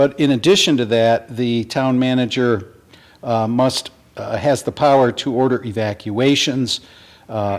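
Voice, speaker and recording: A man speaks at a fairly slow pace. His pitch is medium and his intonation fairly even. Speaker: town attorney. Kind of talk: public meeting briefing. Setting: town board meeting, broadcast. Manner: deliberate, formal.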